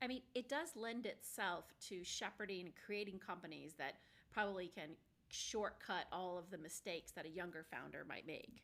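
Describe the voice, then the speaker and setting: A woman at medium pitch, with ordinary pitch variation and a moderate pace. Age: 50s. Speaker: podcast host. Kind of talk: casual interview. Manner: animated.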